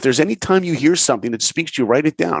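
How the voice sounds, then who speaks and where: A man with a New York accent speaks in an animated tone. His pitch is fairly high. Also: dry, close sound with no echo. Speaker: animator and film director. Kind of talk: interview storytelling.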